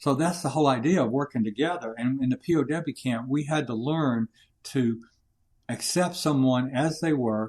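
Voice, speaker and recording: In a Southern US accent, a man talks at medium pitch. His pitch varies in an ordinary way. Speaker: leadership coach and war veteran. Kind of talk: interview. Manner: loud.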